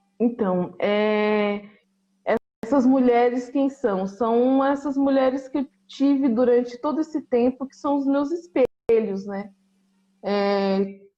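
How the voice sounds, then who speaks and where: Her high voice creeps along at a very slow pace, with big swings in loudness as this woman talks. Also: ordinary pitch variation. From São Paulo North Zone, Brazil. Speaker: visual artist and art educator. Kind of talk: casual interview. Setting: video call.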